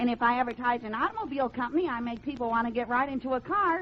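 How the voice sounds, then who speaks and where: A woman talks very fast in a high pitch with lively intonation over noticeable background noise. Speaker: radio comedian. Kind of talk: old-time radio comedy sketch. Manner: eager, fast-talking, comedic.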